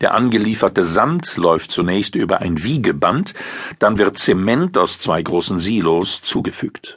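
Fairly low in pitch, a man speaks at a fairly slow pace with lively intonation. He has an unremarkable speaking voice. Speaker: audiobook narrator. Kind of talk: formal newsreading, scripted article narration. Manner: formal; even, measured.

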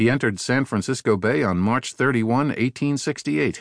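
A man in a normal speaking voice at a medium pitch and moderate pace, dry and close with no echo, over a quiet background. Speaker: audiobook narrator. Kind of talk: audiobook reading of a magazine article. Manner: formal, measured; steady, even-paced.

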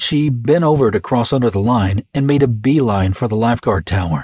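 The voice is somewhat breathy and dramatic in tone, with very wide pitch swings. The sound is dry and close with no echo. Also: man. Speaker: audiobook narrator. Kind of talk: dramatic audiobook narration of a crime thriller, voicing characters. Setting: studio. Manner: dramatic, suspenseful, shifts between characters' voices; dry, clipped tone for the tough FBI agent; gruff for the detectives.

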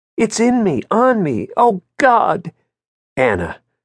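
The man's tone is tearful. The sound is dry and close, with no echo. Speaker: audiobook narrator. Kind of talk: first-person thriller audiobook narration with voiced dialogue. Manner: shifts from clipped noir narration to tearful, halting character voice.

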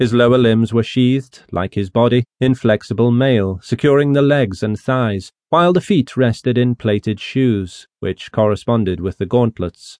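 In an ordinary speaking voice of medium pitch, a man goes at a moderate pace with ordinary pitch variation and hardly any pauses. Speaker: audiobook narrator. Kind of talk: dramatic audiobook narration of a classic novel, rich archaic prose read aloud. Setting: studio. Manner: measured, solemn storytelling pace; grave, ominous tone building dread over the Dead Sea scene.

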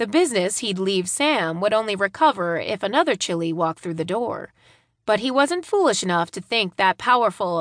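The recording has a dry, close sound with no echo as a woman speaks at a medium pitch and moderate pace with lively intonation. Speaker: audiobook narrator. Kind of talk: scripted audiobook narration of a romance novel. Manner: dramatic; expressive, voicing characters.

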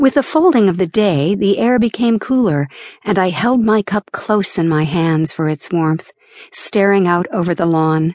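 Her intonation is lively, at a moderate pace and medium pitch. The woman has an ordinary speaking voice. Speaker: audiobook narrator. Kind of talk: dramatic first-person audiobook narration of a novel. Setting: studio. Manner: shifts to a lighter, laughing tone for dialogue, then softer for scenic description.

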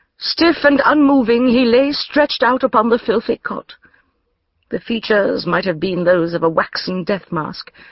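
In a normal speaking voice, a woman talks at a moderate pace with a fairly high pitch and lively intonation. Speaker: audiobook narrator. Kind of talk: audiobook narration, first-person scripted reading in the voice of a Victorian-era lady. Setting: studio.

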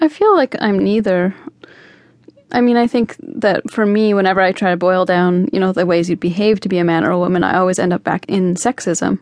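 A woman with a medium pitch speaks at a fairly quick pace in an unremarkable speaking voice with ordinary pitch variation. Her loudness stays very even, and the sound is dry and close with no echo. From Canada. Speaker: singer. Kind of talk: radio interview.

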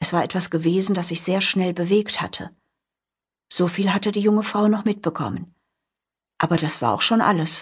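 With a quiet background, a woman speaks at a moderate pace, somewhat breathy and medium in pitch, with long, frequent pauses. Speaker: audiobook narrator. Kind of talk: dramatic audiobook narration of a horror story, with voiced character dialogue. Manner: suspenseful, hushed, building tension; expressive, shifting between narration and character lines.

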